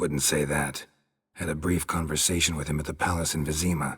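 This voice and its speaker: In a put-on character voice, a man speaks at a fairly quick pace with very deep, low pitch and monotone, flat intonation. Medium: video game. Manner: deadpan, terse.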